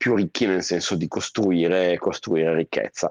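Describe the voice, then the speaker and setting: Against a quiet background, a man talks at a moderate pace in a very deep, low voice, the sound dry and close without echo. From northern Italy, Lake Como. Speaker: expat professional. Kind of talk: interview.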